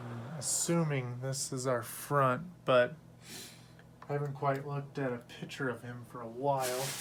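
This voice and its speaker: A man at medium pitch with monotone, flat intonation, big swings in loudness, a moderate pace and audible room echo. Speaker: collectibles unboxing youtuber. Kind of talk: unboxing review.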